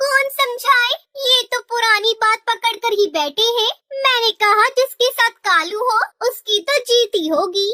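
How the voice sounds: This is a cartoonish character voice that sounds female. The pitch is extremely high for a woman. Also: moderate pace.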